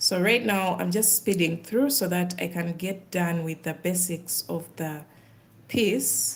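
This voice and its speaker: A woman with an East African accent, fairly low in pitch, at a fairly slow pace with ordinary pitch variation. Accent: East African, mistaken for Kenyan by viewers. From Uganda. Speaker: crochet content creator. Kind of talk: casual live stream chat while crafting. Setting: livestream.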